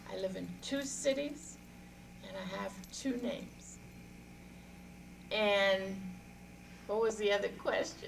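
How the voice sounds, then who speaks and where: A woman with an American accent at a very slow pace, with long, frequent pauses and audible room echo. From New Orleans, US South. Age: 60s. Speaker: storyteller. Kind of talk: interview.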